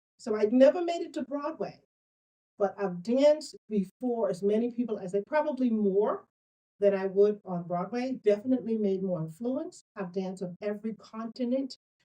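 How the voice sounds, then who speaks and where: Her voice has a dark, mellow tone and a fairly high pitch. This woman speaks with lively intonation. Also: moderate pace. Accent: Bahamian. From Bahamas. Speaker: author and business coach. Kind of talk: interview. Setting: room at a co-op venue. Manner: animated.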